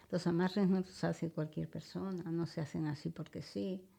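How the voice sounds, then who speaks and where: A woman talks at a fairly slow pace with fairly low pitch, a dark, mellow tone, vocal fry and ordinary pitch variation. The recording is very clean, with a silent background. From Spain, León (Ponferrada area). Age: 70s. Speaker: psychic and natural healer. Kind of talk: interview. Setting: radio studio.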